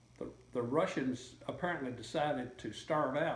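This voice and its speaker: In a room with audible echo, a man speaks at a medium pitch, somewhat breathy, at a fairly slow pace with fairly even intonation. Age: 70s. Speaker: interviewee recalling history. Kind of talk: interview. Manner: halting, many fillers and repeats.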